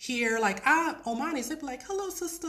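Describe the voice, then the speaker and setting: Noticeable background noise sits behind a woman with an American accent. She talks at a fairly quick pace with lively intonation. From US Midwest, Detroit, Michigan. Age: 30s. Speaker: ESL teacher. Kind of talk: live stream casual talk.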